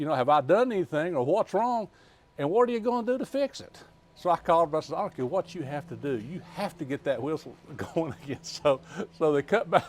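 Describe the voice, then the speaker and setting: A man with an Appalachian accent speaks at a very fast pace. His voice is high and swings very widely in pitch. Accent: Southern US (Appalachian). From US South, western North Carolina. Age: 60s. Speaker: former mayor. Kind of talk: interview. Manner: halting.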